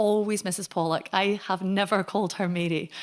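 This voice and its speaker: A woman speaks in a West Highland Scottish accent with fairly even intonation. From Scotland, Argyll (Connel near Oban). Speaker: Gaelic singer and language advocate. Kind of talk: lecture.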